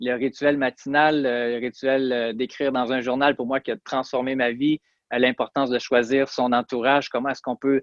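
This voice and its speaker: A man speaks with a Quebec accent. His intonation is monotone and flat, and his pace is moderate. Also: medium pitch for a man. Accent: Québécois French. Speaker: chiropractor and personal development podcaster. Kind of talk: interview. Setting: remote interview from Montreal.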